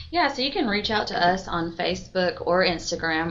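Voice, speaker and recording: A woman speaks over noticeable background noise. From Georgia, US South (Milledgeville). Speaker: service league public relations officer. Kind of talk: casual interview. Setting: office.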